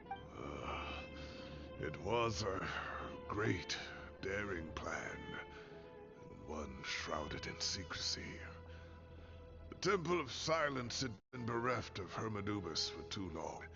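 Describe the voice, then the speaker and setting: Over loud music in the background, a man in a put-on character voice with a fairly low pitch and a weary tone speaks at a fairly slow pace, leaving long, frequent pauses. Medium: video game. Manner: weary, gruff.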